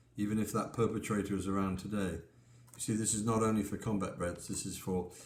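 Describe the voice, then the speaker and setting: Audible room echo surrounds a man talking at a fairly quick pace. His pitch is fairly low and his intonation fairly even. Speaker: pastor and author. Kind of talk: book talk with scripture reading. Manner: halting.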